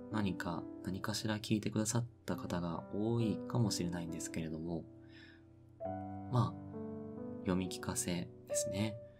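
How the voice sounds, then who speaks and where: Long, frequent pauses at a moderate pace, with loud background noise. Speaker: sleep content narrator. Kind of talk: sleep radio talk.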